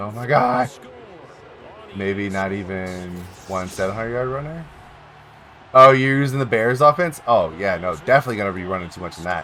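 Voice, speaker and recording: Delivery runs at a fairly quick pace with lively intonation and long, frequent pauses over noticeable background noise. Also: man, fairly low pitch for a man, big swings in loudness. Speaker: live streamer. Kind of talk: casual chat. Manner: animated; loud.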